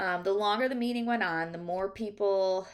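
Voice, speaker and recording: Over a silent background in a very clean recording, a woman speaks at a moderate pace and medium pitch with ordinary pitch variation. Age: young. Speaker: athletic trainer and graduate student. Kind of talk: recorded class presentation. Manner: hesitant, many fillers.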